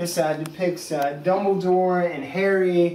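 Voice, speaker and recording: A man with an American accent speaks at a high pitch. Audible room echo and noticeable background noise surround his voice. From Pittsburgh, Pennsylvania, US. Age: 20s. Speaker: vlogger. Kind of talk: casual vlog tour. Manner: enthusiastic; hesitant, many fillers.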